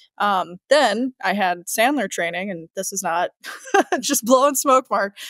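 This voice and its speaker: A woman with a slight Chicago accent speaks at a moderate pace, the sound dry and close with no echo. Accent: slight Chicago accent on certain words. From US Midwest, Chicago. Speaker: sales manager. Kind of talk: podcast interview.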